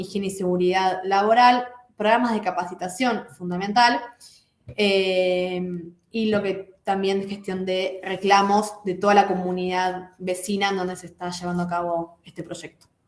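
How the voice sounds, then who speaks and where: Fairly even intonation in a woman's medium-pitched speech, carrying audible room echo. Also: big swings in loudness. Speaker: lecturer. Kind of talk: lecture. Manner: fast.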